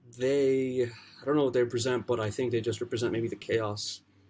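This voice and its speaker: A man speaks with a somewhat breathy voice. His intonation stays fairly even. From Lebanon. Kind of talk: unscripted book review to camera. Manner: hesitant, many fillers.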